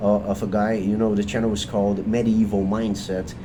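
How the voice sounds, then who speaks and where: Amid audible room echo and noticeable background noise, a man speaks with a Portuguese accent. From Brazil. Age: 30s. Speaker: video creator. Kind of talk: unscripted monologue. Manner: halting, many fillers and restarts.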